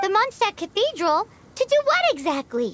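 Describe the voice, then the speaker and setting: A put-on character voice sits at an extremely high pitch, with very wide pitch swings. The pace is moderate. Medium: video game.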